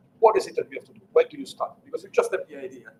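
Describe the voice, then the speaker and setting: A man with an Italian accent speaks over light background noise. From Italy (Sicily, Catania); Sicily, Italy. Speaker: engineering executive; presenter. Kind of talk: lecture. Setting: live-streamed talk with audience. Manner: halting, many fillers. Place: meeting room.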